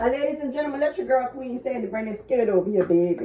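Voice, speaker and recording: Noticeable background noise can be heard while a woman talks. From New Orleans, Louisiana. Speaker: cooking channel host. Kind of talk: cooking tutorial. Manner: animated.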